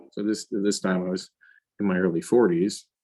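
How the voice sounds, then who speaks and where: With an ordinary speaking voice, a man talks at a fairly quick pace and a fairly low pitch. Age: 50s. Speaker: finance executive. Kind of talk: interview. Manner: conversational with many fillers.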